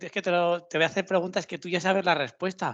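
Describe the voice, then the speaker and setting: Speaking at a fairly quick pace, a man talks with a Castilian accent. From Spain. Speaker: interviewer. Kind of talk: casual interview.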